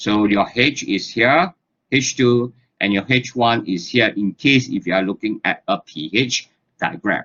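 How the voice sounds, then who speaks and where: A man talks at a fairly slow pace. His medium-pitched voice has lively intonation. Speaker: lecturer. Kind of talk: lecture. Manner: says okay very often.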